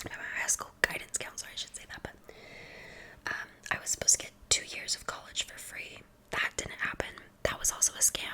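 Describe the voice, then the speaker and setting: Noticeable background noise sits under a woman whispering at a fairly quick pace. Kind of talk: ASMR whispered introduction and rambling to camera. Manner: soft-spoken, whispering.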